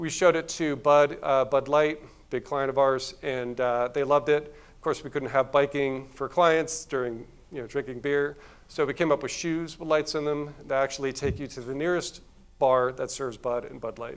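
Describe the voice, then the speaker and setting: This man has an unremarkable speaking voice, pitched fairly high. His intonation is fairly even and his pace moderate. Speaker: agency executive giving a conference talk. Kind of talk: conference talk.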